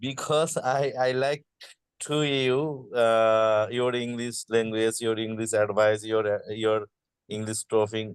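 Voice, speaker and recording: Speaking with a strong Bangladeshi accent, a man goes at a very slow pace with fairly even intonation. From Bangladesh, Gazipur. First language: Bengali. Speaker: participant, garment factory quality manager. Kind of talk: casual chat. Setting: video call. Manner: halting.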